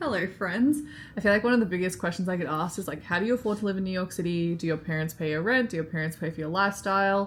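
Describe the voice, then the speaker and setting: Very fast speech in an Australian accent. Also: woman, medium pitch for a woman, ordinary pitch variation. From Australia, Melbourne. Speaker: vlogger and freelance marketer. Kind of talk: casual vlog talk to camera. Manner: casual, filler-heavy.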